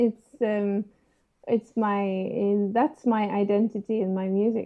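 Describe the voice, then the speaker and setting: Speaking in a Norwegian accent, a woman keeps a medium pitch and fairly even intonation. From Norway. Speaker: trumpeter. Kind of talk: interview. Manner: halting.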